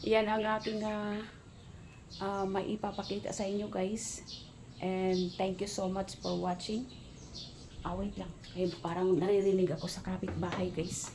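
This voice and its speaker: A woman's flat, monotone speech at a fairly slow pace, full of long, frequent pauses, with audible room echo. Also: medium pitch for a woman. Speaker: vlogger, domestic helper. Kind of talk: casual vlog. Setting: outdoors, then inside the house. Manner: loud.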